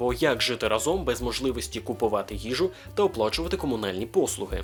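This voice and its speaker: A man rattles along at a very fast pace while music plays behind him. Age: 20s. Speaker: aspiring voice-over artist. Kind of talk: casual talk to camera.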